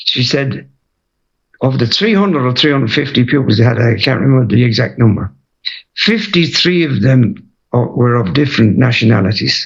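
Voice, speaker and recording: A man with a Waterford accent speaks at medium pitch and a moderate pace. His voice is somewhat breathy, with lively intonation and very even loudness. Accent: Irish, Waterford. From Ireland, Waterford. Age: 80s+. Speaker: retired footballer and manager. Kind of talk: interview.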